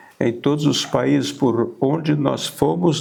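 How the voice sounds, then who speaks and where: A man speaks at a very slow pace with very wide pitch swings. Noticeable background noise runs underneath. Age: 80s+. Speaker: missionary pastor. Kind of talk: testimony.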